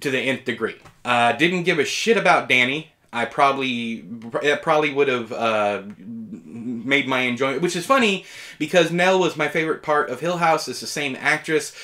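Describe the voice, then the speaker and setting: Against a quiet background, a man speaks at a moderate pace with lively intonation and a bright, sharp tone. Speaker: TV reviewer. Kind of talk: review commentary. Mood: opinionated, mildly exasperated. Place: home room.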